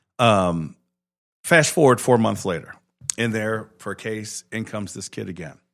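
A man with a normal speaking voice talks at a moderate pace, his pitch fairly low and his intonation lively. His loudness swings widely, and the recording is very clean with a silent background. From Chicago. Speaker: judge. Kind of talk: casual interview. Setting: studio.

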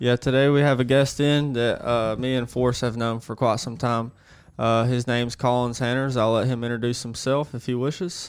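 A man talks at a medium pitch, his intonation monotone and flat. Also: moderate pace. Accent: Alabama. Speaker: podcast co-host. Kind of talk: casual chat. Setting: studio.

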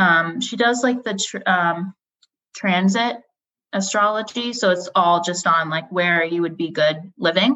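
A woman talks at a fairly slow pace with ordinary pitch variation. She has an ordinary speaking voice. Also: medium pitch for a woman. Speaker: podcast co-host. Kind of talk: casual chat.

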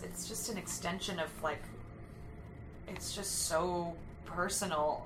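With long, frequent pauses and big swings in loudness, a woman speaks with ordinary pitch variation, audible room echo and noticeable background noise around her. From Southern California. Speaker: actress and singer. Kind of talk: casual interview chat. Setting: recording studio.

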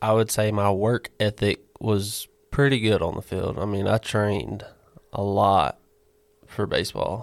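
With a Southern US accent, a man speaks at a fairly slow pace in a fairly low pitch with fairly even intonation, the sound dry and close with no echo on a very clean recording with a silent background. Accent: Southern US (Georgia). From Georgia, US South. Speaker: former student athlete, baseball catcher. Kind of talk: interview.

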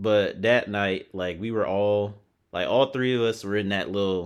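A playful tone at a fairly slow pace, with fairly even intonation over a quiet background. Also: man. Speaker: podcast co-host. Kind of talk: casual chat. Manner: playful, joking.

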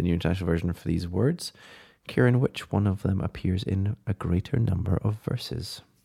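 With a British accent, a man speaks in a very deep, low, somewhat breathy voice that is dark and mellow, with ordinary pitch variation. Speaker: podcast co-host. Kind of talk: casual chat. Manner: warm.

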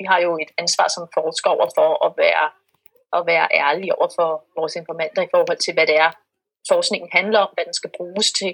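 She speaks at a moderate pace. The woman's recording has a dry, close sound with no echo. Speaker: researcher in religious studies. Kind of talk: interview. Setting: video call. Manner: halting.

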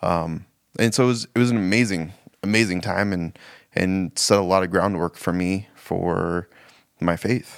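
This man has an American accent and a very deep, low pitch, with fairly even intonation. He keeps a moderate pace in a very clean recording with a silent background. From Spokane, Washington. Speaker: church staff member. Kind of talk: casual chat.

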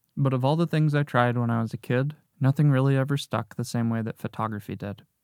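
Recorded very cleanly with a silent background and a dry, close sound with no echo, a man speaks at medium pitch in a dark, mellow tone, at a fairly quick pace with fairly even intonation. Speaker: podcast host and photographer. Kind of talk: scripted narration. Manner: speech affected by deafblindness.

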